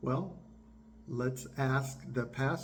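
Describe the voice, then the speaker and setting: In a room with audible echo, a man speaks at medium pitch, sounding somewhat breathy. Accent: American. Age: 60s. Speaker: biomedical engineer and YouTuber. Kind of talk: political commentary monologue.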